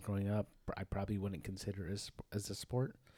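Recorded very cleanly with a silent background, a man with a plain, everyday voice speaks at a fairly quick pace and a fairly low pitch. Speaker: podcast co-host. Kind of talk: casual chat.

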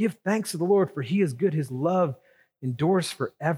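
With lively intonation and a high pitch, a man speaks at a fairly quick pace on a very clean recording with a silent background. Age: 40s. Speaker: pastor. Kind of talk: sermon.

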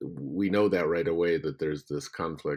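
A man speaks at a moderate pace. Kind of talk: interview.

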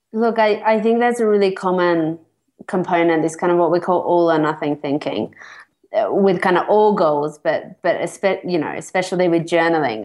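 Delivered with an Australian accent, the speech moves at a moderate pace with ordinary pitch variation. Loudness stays very even. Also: woman, fairly low pitch for a woman. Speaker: psychologist and therapist. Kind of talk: interview. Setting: remote call from Mexico.

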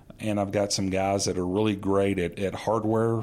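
A man with an American accent uses an ordinary speaking voice at a fairly low pitch and moderate pace, over a very clean recording with a silent background. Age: 50s. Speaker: flight simulator maintenance supervisor. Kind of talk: interview.

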